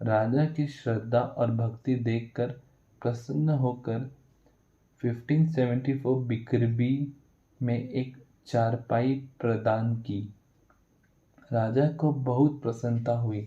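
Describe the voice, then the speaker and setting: Somewhat breathy, a man at medium pitch speaks with a dark, mellow tone and fairly even intonation. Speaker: religious story narrator. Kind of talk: religious exhortation; reading aloud.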